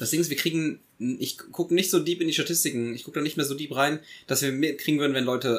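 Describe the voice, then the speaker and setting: This man speaks very fast in a fairly high voice with vocal fry. The recording is very clean, with a silent background. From Germany, Eifel region. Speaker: podcast co-host. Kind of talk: casual chat. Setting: studio.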